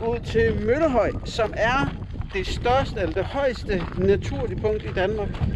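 A man speaks at a very slow pace over noticeable background noise. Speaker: travel vlogger. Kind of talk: casual vlog chat. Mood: cheerful, joking. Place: open country. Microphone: phone near.

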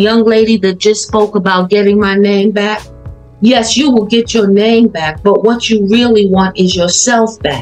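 Faint music plays in the background. A woman speaks with fairly even intonation. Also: medium pitch for a woman, moderate pace. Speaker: retired academic and coach. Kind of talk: motivational talk on group video call. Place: home room. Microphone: video call.

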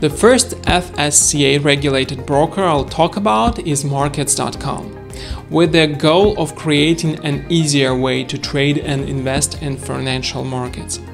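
A man talks at a fairly slow pace. Clear music is heard behind him. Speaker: broker reviewer. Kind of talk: presenter review to camera. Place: home room.

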